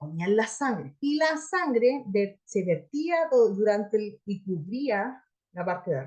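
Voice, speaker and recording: A woman with a fairly high pitch, a somewhat breathy voice and an animated tone, with very wide pitch swings. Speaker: Bible teacher. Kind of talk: lecture.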